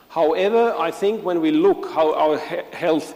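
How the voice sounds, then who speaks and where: Fairly slow speech from a man over noticeable noise in the background. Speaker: physiotherapy lecturer. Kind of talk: conference talk.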